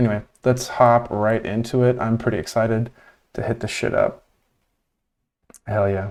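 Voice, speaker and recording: In a very clean recording with a silent background, a man with an American accent speaks at a medium pitch with monotone, flat intonation and long, frequent pauses. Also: moderate pace. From US, Cuban American family. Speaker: video game streamer. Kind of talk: live gameplay stream commentary. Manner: casual, many filler ums.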